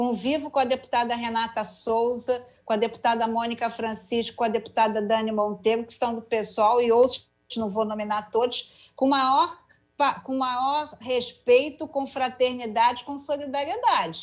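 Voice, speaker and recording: Over music in the background, a woman with a high pitch speaks at a moderate pace with fairly even intonation. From Rio de Janeiro, Brazil (Penha). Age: 60s. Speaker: politician, mayoral candidate. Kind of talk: political interview.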